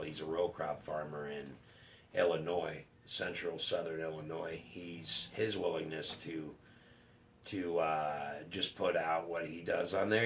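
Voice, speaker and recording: A man's very deep, low voice at a fairly slow pace with fairly even intonation, plus audible room echo and noticeable background noise. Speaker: YouTuber, cattle farmer. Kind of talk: casual vlog, subscriber shout-outs. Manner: halting, hesitant with fillers.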